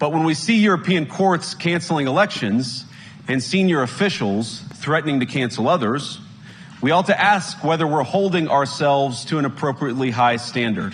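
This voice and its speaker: A man with lively intonation and fairly high pitch at a moderate pace, over noticeable background noise. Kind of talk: political speech to an audience.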